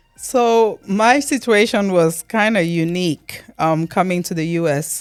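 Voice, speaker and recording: A woman's medium-pitched voice with lively intonation over music in the background. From Cameroon. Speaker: immigrant. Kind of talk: interview answer.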